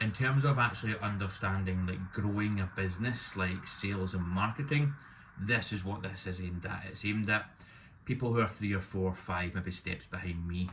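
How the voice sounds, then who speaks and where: A man with a Scottish accent, fairly low in pitch, with ordinary pitch variation and a moderate pace. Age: 30s. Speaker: removals business owner. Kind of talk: vlog monologue. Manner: hesitant, with fillers.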